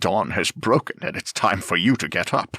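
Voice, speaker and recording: Putting on a gruff character voice, a man speaks at a moderate pace and a medium pitch in a dry, close sound with no echo. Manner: firm with a hint of laughter.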